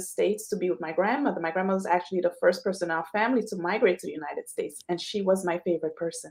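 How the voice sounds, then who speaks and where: The woman talks at a very fast pace with hardly any pauses. Her pitch is medium, with ordinary variation. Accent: Trinidadian. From Trinidad and Tobago. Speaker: financial consultant. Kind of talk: interview.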